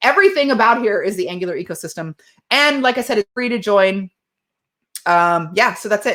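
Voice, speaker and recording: This woman talks at a fairly quick pace, her fairly high pitch carrying lively intonation and a bright, sharp tone. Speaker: tech community founder and speaker. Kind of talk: conference talk with Q&A. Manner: fast; casual, filler-heavy.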